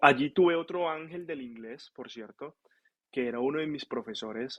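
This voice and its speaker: A man speaks at a moderate pace, his fairly high voice rising and falling in an ordinary way. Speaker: physician (nephrologist). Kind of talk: casual interview storytelling.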